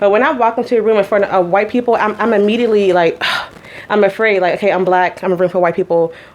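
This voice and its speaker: Very fast and animated, a woman talks with an American accent at very even loudness. Background noise is noticeable. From Pittsburgh, Pennsylvania. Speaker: event business co-owner. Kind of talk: casual discussion.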